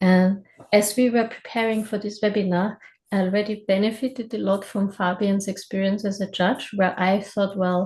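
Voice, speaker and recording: A woman with a German accent speaks at a medium pitch in a flat, monotone way, her voice somewhat breathy. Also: moderate pace, quiet background. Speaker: webinar host. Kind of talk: webinar presentation. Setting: video call. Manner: hesitant, with fillers.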